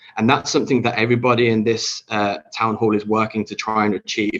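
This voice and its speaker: A man with a British accent talks at a fairly quick pace. His pitch is medium and his intonation fairly even. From Britain. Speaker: tourism industry leader. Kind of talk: panel discussion.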